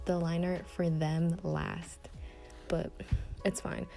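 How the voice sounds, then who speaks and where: With music behind her, the woman speaks fairly slowly. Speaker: amateur artist. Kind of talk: casual talk while drawing. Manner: hesitant, stuttering.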